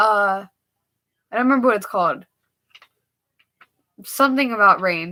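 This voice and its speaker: Lively intonation and a bright, sharp tone from a woman. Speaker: livestreamer. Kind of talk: casual livestream chat. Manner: fast.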